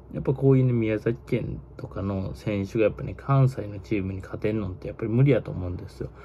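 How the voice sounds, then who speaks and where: Light background noise runs under the recording. Over it, a man keeps up a fairly quick pace. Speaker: baseball YouTuber. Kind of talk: casual monologue commentary. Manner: casual, filler-heavy, opinionated. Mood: tired, opinionated, blunt. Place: home room. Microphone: phone near.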